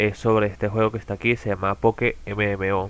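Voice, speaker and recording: A man speaks at a moderate pace. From Venezuela, outskirts of Caracas. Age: 20s. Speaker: gaming content creator. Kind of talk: self-introduction video. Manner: hesitant, with fillers.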